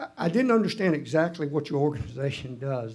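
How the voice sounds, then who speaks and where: The speaker has a Southern US accent and a dark, mellow tone. The pace is moderate. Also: man. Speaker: utility commissioner. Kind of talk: hearing questioning. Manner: halting. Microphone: muffled.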